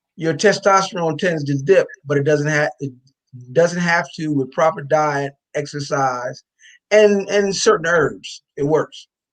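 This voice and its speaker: A plain, everyday voice from a man, fairly high-pitched, with an American accent, ordinary pitch variation and a fairly slow pace. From New Jersey. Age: 60s. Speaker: supplement company founder. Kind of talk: radio interview.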